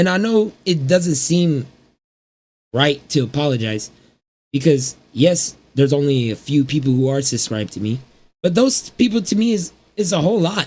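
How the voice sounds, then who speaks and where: Somewhat breathy and fairly high-pitched, a man talks at a moderate pace with very wide pitch swings and long, frequent pauses. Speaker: small YouTuber. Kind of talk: personal vlog rant. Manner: halting.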